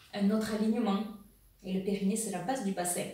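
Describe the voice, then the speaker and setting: A woman's flat, monotone delivery sits at a middle pitch, with clear background noise and some echo from the room. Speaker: women's wellness coach. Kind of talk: educational video monologue.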